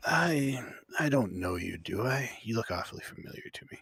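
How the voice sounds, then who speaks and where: Putting on a character voice, a man speaks at a moderate pace and medium pitch, sounding raspy, with lively intonation and big swings in loudness. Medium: actual play. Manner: friendly but guarded, hesitant.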